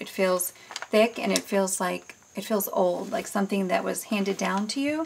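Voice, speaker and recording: Noticeable background noise behind a woman speaking at medium pitch. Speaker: crafter selling handmade journals. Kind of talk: product show-and-tell tutorial. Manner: casual with many fillers.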